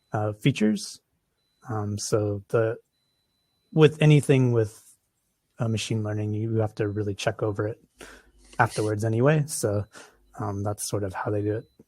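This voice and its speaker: In a very clean, dry, close recording with no echo and a silent background, a man with an American accent speaks at a moderate pace with long, frequent pauses, his fairly low, somewhat breathy voice dark and mellow in tone, with ordinary pitch variation. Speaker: research software developer. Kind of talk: conference Q&A. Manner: hesitant, many fillers.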